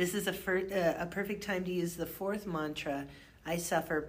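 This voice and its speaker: This woman has a fairly low pitch and fairly even intonation. She talks at a fairly slow pace, with audible room echo. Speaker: professor. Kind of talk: casual book discussion. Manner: precise, over-enunciated pronunciation; projects strongly.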